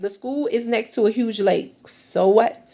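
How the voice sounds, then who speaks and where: An ordinary speaking voice at a fairly slow pace with ordinary pitch variation. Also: woman. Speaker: teacher. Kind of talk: tutorial. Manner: casual and conversational.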